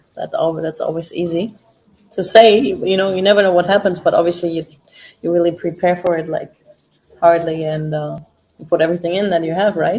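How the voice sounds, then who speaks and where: A woman with a German accent speaks at a fairly quick pace in a fairly low pitch. Her intonation is fairly even, with long, frequent pauses. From Germany, Berlin (East Germany). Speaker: MMA fighter and watch-party host. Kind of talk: casual live-stream chat. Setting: live stream with friends in room. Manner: informal, with fillers.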